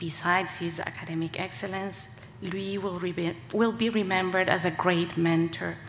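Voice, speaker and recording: Light background noise accompanies a woman whose pitch varies in an ordinary way. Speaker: panel moderator. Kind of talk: memorial tribute speech. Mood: solemn, respectful. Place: stage. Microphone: podium.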